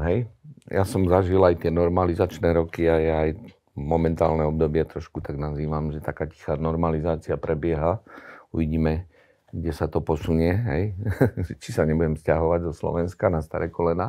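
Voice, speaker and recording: The tone is dark and mellow, with fairly even intonation at a moderate pace. The background is quiet. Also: man, very deep, low pitch for a man. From Slovakia. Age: 60s. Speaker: hockey club executive; interview guest. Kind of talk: interview. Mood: serious, critical. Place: studio. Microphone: lapel.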